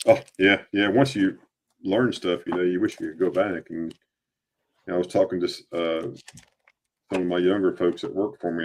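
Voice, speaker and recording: A man talking at a fairly quick pace. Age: 50s. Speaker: coin dealer live stream host. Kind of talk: live stream selling coins. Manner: casual, chatty.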